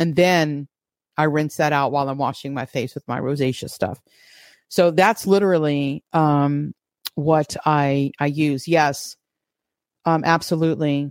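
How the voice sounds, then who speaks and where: A woman with a New York accent speaks at a fairly slow pace in a very deep, low voice, with fairly even intonation and long, frequent pauses. The recording is very clean, with a silent background. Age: 50s. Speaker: podcast host. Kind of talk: livestream Bible teaching with chat; casual chat. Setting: live stream from home, using a laptop.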